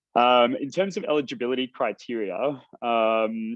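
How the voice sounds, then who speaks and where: Pitch moves in an ordinary way throughout. The speaker is a man. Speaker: researcher presenting a report. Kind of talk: webinar presentation. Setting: online webinar. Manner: fast; hesitant, many fillers.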